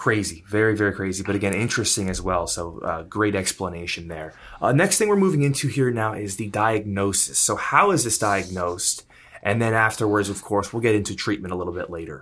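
Fairly low in pitch, a man talks at a fairly quick pace with ordinary pitch variation. He has an ordinary speaking voice. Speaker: podcast host. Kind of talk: casual chat. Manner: upbeat.

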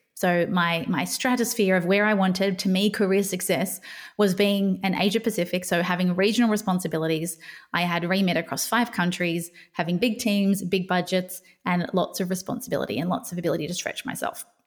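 A woman with an Australian accent speaks at a fairly quick pace with medium pitch and fairly even intonation in a very clean recording with a silent background. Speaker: podcast host and burnout coach. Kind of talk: personal storytelling monologue. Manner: unscripted, with pauses and fumbles.

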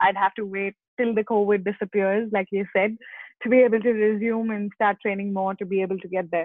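A woman talks at a fairly quick pace with monotone, flat intonation. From India. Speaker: motorcycle racer. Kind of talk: interview. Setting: remote call. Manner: hesitant, many fillers.

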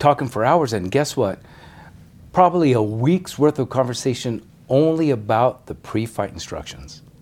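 A plain, everyday voice from a man in an American accent, medium-pitched, with lively intonation and a moderate pace. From Denver, Colorado. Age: 60s. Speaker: retired boxing referee. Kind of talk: casual interview.

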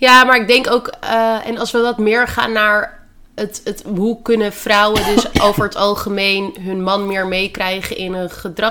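Through noticeable background noise comes a woman's fairly high voice. She keeps a moderate pace with ordinary pitch variation. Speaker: dietitian and podcast host. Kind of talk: casual chat. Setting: at home in quarantine.

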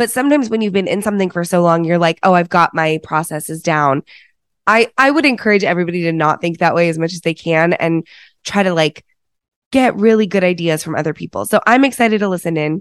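On a very clean recording with a silent background and a dry, close sound with no echo, a woman talks at a very fast pace with lively intonation and a fairly low pitch. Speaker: podcast host. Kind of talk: casual podcast interview. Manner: lets guest talk, conversational.

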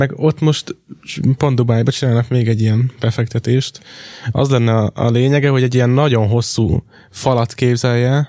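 A man speaks in a plain, everyday voice at a moderate pace with medium pitch. His intonation is fairly even, his loudness very even, and the sound is dry and close with no echo. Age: 20s. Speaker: podcast co-host. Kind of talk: casual chat.

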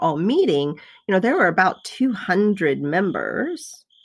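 A normal speaking voice from a woman at medium pitch, fairly slow in pace with lively intonation, in a very clean recording with a silent background. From US South. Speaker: quilter and former nurse. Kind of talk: casual chat. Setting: studio.

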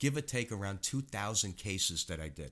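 A man's fairly low voice in a New York accent, bright and sharp in tone, with lively intonation, on a very clean recording against a silent background. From New York City, Queens. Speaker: retired animal cruelty officer and animal chaplain. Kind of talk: casual interview.

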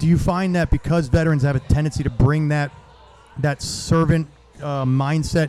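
Noticeable background noise surrounds a man speaking at a moderate pace. His pitch is fairly high and his intonation monotone and flat. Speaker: podcast host and veteran. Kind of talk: casual interview chat. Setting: outdoors at a charity event.

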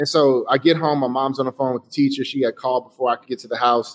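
This man has an unremarkable speaking voice, a fairly high pitch, fairly even intonation and an American accent. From Chicago, US. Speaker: designer and entrepreneur. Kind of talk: interview.

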